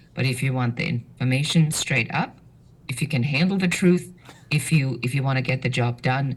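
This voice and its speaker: A woman's very deep, low, somewhat breathy voice with a German accent, ordinary pitch variation and a moderate pace. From Germany. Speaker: business strategist. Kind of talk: podcast interview. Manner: direct, assertive.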